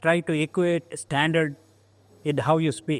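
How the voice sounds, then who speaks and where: A man with a Goan accent, fairly high in pitch, at a fairly slow pace. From India, coastal Karnataka village. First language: Konkani. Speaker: engineering alumnus. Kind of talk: oral history interview. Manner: halting.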